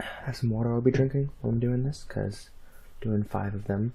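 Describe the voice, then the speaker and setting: A soft-spoken man talks at a moderate pace in a medium pitch. His tone is dark and mellow, somewhat breathy, with flat, monotone intonation. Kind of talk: casual talk to camera.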